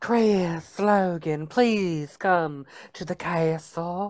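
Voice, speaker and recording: Put-on character voice in a Southern accent, middle in pitch, at a very slow pace. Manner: flamboyant, flaming.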